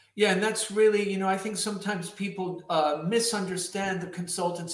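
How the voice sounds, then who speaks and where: A man's high, flat, monotone voice at a fairly quick pace, against noticeable background noise. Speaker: podcast host. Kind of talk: casual interview.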